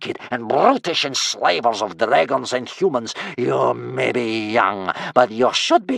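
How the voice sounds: Simply a natural reading voice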